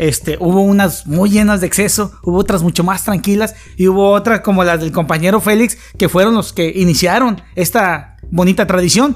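A man talks at a high pitch. His pace is moderate and his intonation fairly even. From Mexico, Tampico area. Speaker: podcast host. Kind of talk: casual chat.

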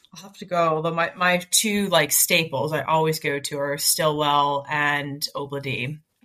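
In an Atlantic Canadian accent, a woman talks at a fairly slow pace with a very deep, low pitch, big swings in loudness and hardly any pauses. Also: fairly even intonation. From Nova Scotia, Halifax. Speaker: digital marketer. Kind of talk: casual chat.

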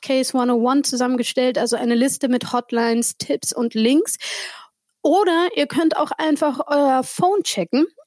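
The sound is dry and close, without any echo. Delivery comes at a moderate pace with lively intonation. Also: woman. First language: not German (speaking German). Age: 40. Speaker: podcast host. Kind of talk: casual chat.

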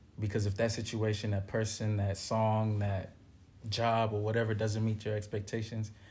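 The man's fairly low voice is somewhat breathy and monotone, held at a very even loudness and a moderate pace. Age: 30s. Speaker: musician. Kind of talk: casual chat.

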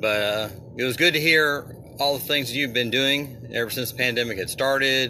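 A man's medium-pitched voice comes through with noticeable noise in the background. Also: ordinary pitch variation, moderate pace. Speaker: caller.

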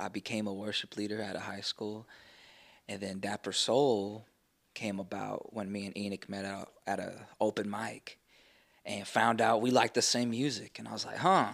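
Heard on a very clean recording over a silent background, the speaker uses a Texan accent at a moderate pace. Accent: Texan American. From Texas Panhandle (Amarillo). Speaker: musician. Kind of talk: casual interview.

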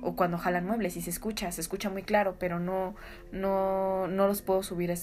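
This woman's voice sits at a fairly low pitch. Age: 20s. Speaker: podcaster. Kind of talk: casual storytelling.

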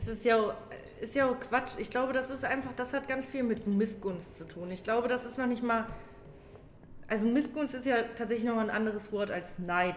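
Against audible room echo and noticeable background noise, a woman speaks at a fairly high pitch. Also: ordinary pitch variation, moderate pace. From Germany, near Kassel (northern Hesse). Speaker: outpatient care worker. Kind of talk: casual chat.

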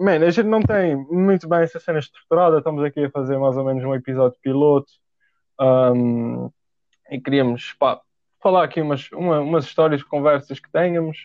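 Fairly high-pitched man at a moderate pace, with ordinary pitch variation and big swings in loudness. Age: young. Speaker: podcast host. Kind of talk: casual chat. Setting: home recording at desk.

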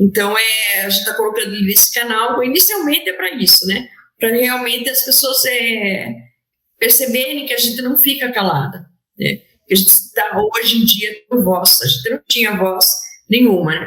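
A plain, everyday voice from a woman, fairly high in pitch, with ordinary pitch variation at a moderate pace. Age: 50s. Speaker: lawyer and public servant. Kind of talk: interview testimony. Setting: remote call (hybrid format).

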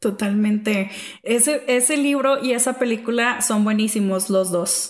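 A woman speaks with an ordinary speaking voice at a fairly high pitch and a fairly slow pace. Her loudness stays very even, and her pitch varies in an ordinary way. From Mexico, small town. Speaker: podcast host. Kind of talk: casual chat.

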